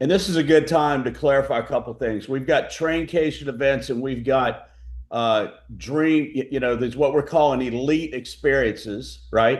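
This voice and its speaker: A man's fairly high-pitched voice with vocal fry, ordinary pitch variation and a moderate pace. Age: 60s. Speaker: company founder. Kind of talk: business presentation on video call.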